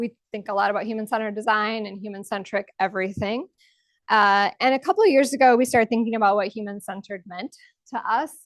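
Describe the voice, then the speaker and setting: A woman speaks very fast at a fairly high pitch, with ordinary pitch variation. The sound is dry and close with no echo, and the background is quiet. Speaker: UX researcher and conference speaker. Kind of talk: conference talk. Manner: casual, frequent fillers.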